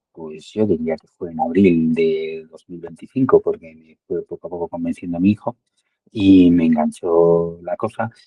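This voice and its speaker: The man's fairly slow speech is heard dry and close, with no echo. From Spain, Madrid. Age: 60s. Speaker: amateur padel player, client testimonial. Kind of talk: testimony interview. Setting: call. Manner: halting, many fillers and repetitions.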